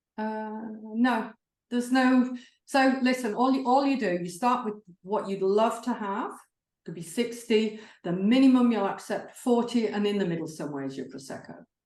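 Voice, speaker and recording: At a moderate pace, a woman with a fairly high pitch and lively intonation swings widely in loudness, with audible room echo. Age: 60s. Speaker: salary negotiation expert. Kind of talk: online seminar Q&A. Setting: online seminar.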